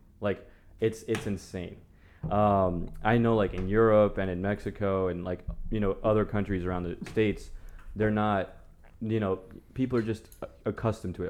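A man with a Spanish accent and a fairly low pitch speaks at a moderate pace in a monotone, flat intonation, with long, frequent pauses. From Las Vegas, US. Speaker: podcast host. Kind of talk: casual chat. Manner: casual, informal.

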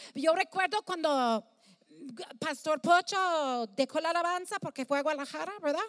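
An extremely high-pitched woman at a moderate pace, with ordinary pitch variation and a dry, close sound with no echo. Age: 50s. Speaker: pastor. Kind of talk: sermon. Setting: stage with audience. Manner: halting.

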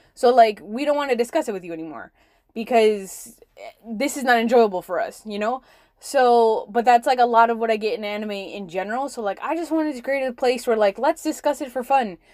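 A woman with an unremarkable speaking voice talks at a fairly quick pace, her pitch fairly high and its variation ordinary. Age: 20s. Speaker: podcast host. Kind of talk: casual monologue. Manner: casual with many fillers.

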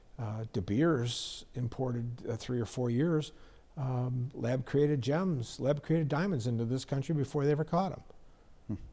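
A man with an American accent, fairly slow and somewhat breathy, with a dark, mellow tone, medium pitch and ordinary pitch variation, on a very clean recording with a silent background. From US Midwest, northern Illinois. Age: 70s. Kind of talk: casual interview. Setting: in person at his shop.

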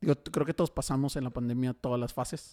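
A man's dark, mellow voice carries fairly even intonation in a dry, close sound with no echo. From Mexico, Tijuana. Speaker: podcast host. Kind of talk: casual chat. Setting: studio.

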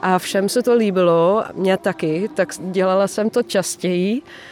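Very slowly, a woman speaks at a medium pitch. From Netherlands. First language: Dutch (speaking Polish). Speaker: singer-songwriter, former music teacher. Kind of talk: interview.

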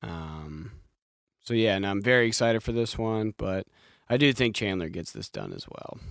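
An ordinary speaking voice moves at a moderate pace with ordinary pitch variation and big swings in loudness, the sound dry and close with no echo. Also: man, fairly low pitch for a man. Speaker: podcast host. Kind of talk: casual comedic sports chat interview.

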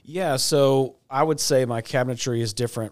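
Heard in a very clean recording with a silent background, a man with a plain, everyday voice speaks at a moderate pace with ordinary pitch variation. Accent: American. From Texas. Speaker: cabinet company owner. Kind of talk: interview. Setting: studio.

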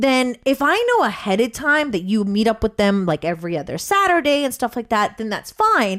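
A woman's fairly high, fairly quick voice with hardly any pauses and very wide pitch swings, over noticeable background noise. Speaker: radio host. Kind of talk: casual chat. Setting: studio.

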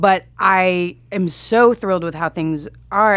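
Here is a woman with an American accent and a plain, everyday voice. Her pitch is medium, with ordinary variation. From Texas, Grand Prairie near Dallas. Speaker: TV comedy writer. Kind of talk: casual interview.

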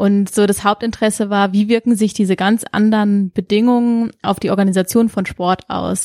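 A woman speaks at a medium pitch with a dark, mellow tone and monotone, flat intonation, at a moderate pace. The recording is very clean, with a silent background and a dry, close sound with no echo. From Karlsruhe, Germany. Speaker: PhD researcher in sport science. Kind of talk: interview.

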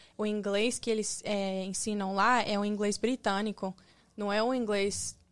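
Monotone, flat intonation at a fairly slow pace. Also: woman, medium pitch for a woman. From Espírito Santo, Brazil. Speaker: fashion model. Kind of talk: casual interview chat.

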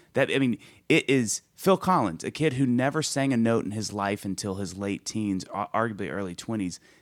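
Captured dry and close with no echo in a very clean recording with a silent background, a man speaks at a moderate pace with a fairly low pitch. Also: lively intonation. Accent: Southern US. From US South, Mississippi. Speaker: singer-songwriter. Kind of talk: casual chat. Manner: animated.

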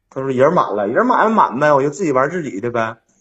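In an ordinary speaking voice, a man talks with lively intonation at a fairly high pitch. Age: 30s. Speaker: caller seeking relationship advice. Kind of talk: call-in advice conversation.

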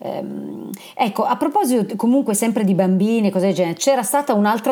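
A woman talks with ordinary pitch variation while noticeable noise fills the background. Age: 50s. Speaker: podcast host. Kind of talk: interview.

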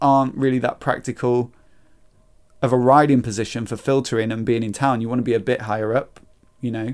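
Recorded very cleanly against a silent background, a man with a British accent speaks at a fairly quick pace and medium pitch. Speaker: podcast host. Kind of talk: casual chat.

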